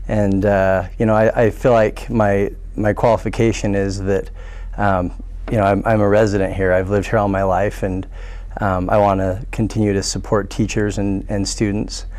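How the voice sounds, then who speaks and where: A man with an American accent speaks at a fairly low pitch and moderate pace, in a monotone, flat intonation with very even loudness. The recording has audible room echo and noticeable background noise. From Pocatello, Idaho. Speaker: school board candidate. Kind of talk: candidate forum answer. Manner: hesitant, many fillers and repeats.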